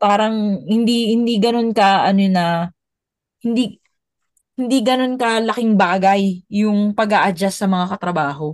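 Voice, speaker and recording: At a fairly slow pace, a woman speaks in an unremarkable speaking voice, medium in pitch, with ordinary pitch variation and very even loudness. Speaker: former overseas worker. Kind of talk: casual chat.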